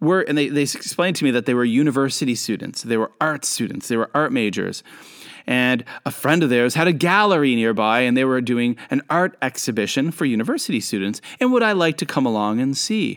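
In a Canadian accent, a man talks at a fairly quick pace in an unremarkable speaking voice of medium pitch, with lively intonation. His loudness stays very even on a very clean recording, silent background. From Canada. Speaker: podcast host and international educator. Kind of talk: storytelling monologue. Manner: casual, with frequent fillers.

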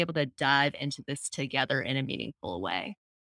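On a very clean recording with a silent background and a dry, close sound with no echo, a woman speaks with an American accent. Her voice has vocal fry, ordinary pitch variation and a moderate pace. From New York. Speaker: design education company co-founder. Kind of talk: interview. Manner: animated.

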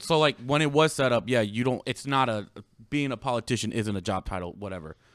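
An unremarkable speaking voice goes at a fairly quick pace in a dry, close sound with no echo, on a very clean recording with a silent background. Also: man, big swings in loudness. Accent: American. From United States. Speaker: producer doing fact checks. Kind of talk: casual chat.

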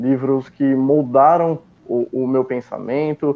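A man's voice, fairly high in pitch. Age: 20s. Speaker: book reviewer and purchasing worker. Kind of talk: interview. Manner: halting with repetitions.

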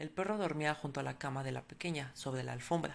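A woman talks at a fairly quick pace with vocal fry and a very deep, low pitch. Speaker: podcast storyteller. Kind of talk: horror story narration, read aloud.

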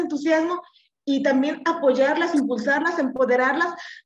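A woman with a Mexican accent, high pitch, fairly even intonation and a moderate pace. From Mexico, Colima. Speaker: party official. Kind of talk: podcast panel discussion.

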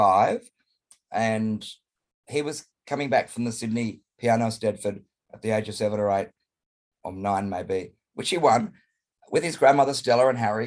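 A man speaks in an Australian accent at a medium pitch. His pitch varies in an ordinary way. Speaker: drag performer. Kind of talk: casual chat. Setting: video call. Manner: loud.

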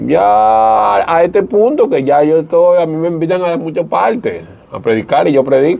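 A fairly high male voice with very wide pitch swings over noticeable background noise. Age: 40s. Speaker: former stripper turned evangelist. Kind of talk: testimony.

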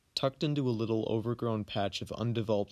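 A man with an American accent uses a dramatic tone and fairly even intonation in a very clean recording with a silent background. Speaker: podcast host and storyteller. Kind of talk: scripted personal narrative, dramatic literary narration. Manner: dramatic, measured, vivid storytelling pace.

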